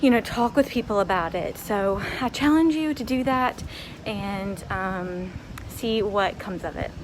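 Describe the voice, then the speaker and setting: There is noticeable background noise as a woman speaks at a fairly slow pace with ordinary pitch variation. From United States. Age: 20s. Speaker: English teacher. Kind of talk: casual vlog talk to camera.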